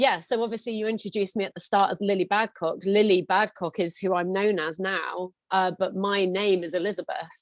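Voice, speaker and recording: With an unremarkable speaking voice, a woman talks at a fairly quick pace and medium pitch with fairly even intonation and hardly any pauses, on a very clean, dry, close recording with no echo and a silent background. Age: 40s. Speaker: singer and singing teacher. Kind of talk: therapy session.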